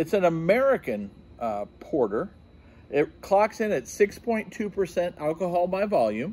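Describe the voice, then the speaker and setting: A man with a high pitch talks at a very slow pace. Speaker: beer reviewer. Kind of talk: casual review vlog. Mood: upbeat, curious. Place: garden.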